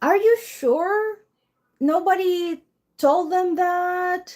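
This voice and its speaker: On a very clean recording with a silent background, a woman talks in an animated tone. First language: not English. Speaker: tarot reader. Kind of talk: live-stream tarot reading. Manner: halting.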